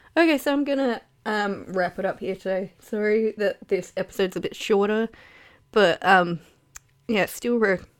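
Long, frequent pauses break up a woman's medium-pitched speech, which runs at a moderate pace with ordinary pitch variation. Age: 20s. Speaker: podcast host. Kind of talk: casual monologue.

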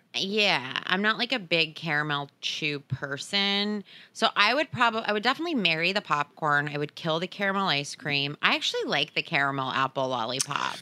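A plain, everyday voice from a woman with a fairly low pitch and lively intonation, at a fairly quick pace with hardly any pauses, in a very clean recording with a silent background. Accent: American. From US Northeast. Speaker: podcast host. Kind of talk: casual chat.

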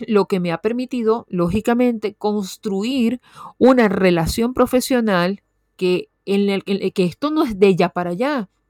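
A woman with a medium pitch talks at a fairly slow pace in an animated tone, with ordinary pitch variation. The sound is dry and close, with no echo. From Venezuela. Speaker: podcast host, copywriter and journalist. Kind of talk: casual monologue.

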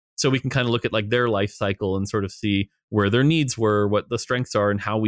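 A man talks at a fairly quick pace with hardly any pauses, in a normal speaking voice. His pitch is fairly low and his intonation fairly even. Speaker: game designer. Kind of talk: interview, casual conversation. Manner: casual, fluent.

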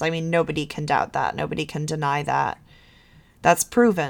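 Recorded very cleanly against a silent background, a woman speaks with vocal fry at a very deep, low pitch. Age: 20s. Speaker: podcast host. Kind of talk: casual monologue. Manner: hesitant, many fillers.

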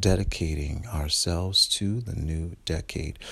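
A man speaks at a very slow pace with lively intonation and a somewhat breathy voice. The recording is very clean, with a silent background. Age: 40s. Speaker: podcast host and entertainer. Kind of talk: motivational monologue.

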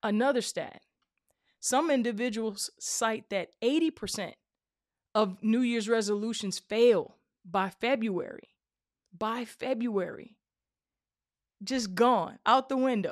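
Against a quiet background, a woman with a fairly high pitch speaks at a very slow pace, with long, frequent pauses. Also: ordinary pitch variation. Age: 40s. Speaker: career podcast host. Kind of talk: live conversation.

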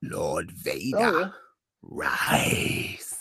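In a put-on character voice, a man growls out raspy lines with a sinister tone. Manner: sinister, commanding.

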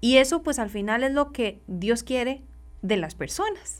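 This woman speaks at a fairly slow pace with ordinary pitch variation. The recording is very clean, with a silent background. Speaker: social worker. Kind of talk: radio interview. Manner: halting.

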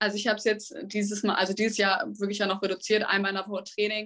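Her pitch medium, a woman talks at a very fast pace. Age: 18. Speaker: junior tennis player. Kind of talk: casual interview. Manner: hesitant with many fillers.

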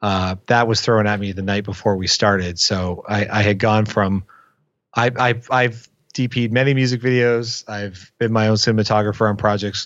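A man with a plain, everyday voice, fairly low in pitch, with fairly even intonation. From Windsor, Ontario, Canada. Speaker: film director. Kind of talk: casual interview. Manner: fast, with frequent repetitions.

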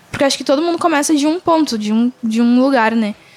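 A woman's voice with ordinary pitch variation against noticeable background noise. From Rio Grande do Sul, Brazil. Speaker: singer-songwriter and slam poet. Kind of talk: casual interview.

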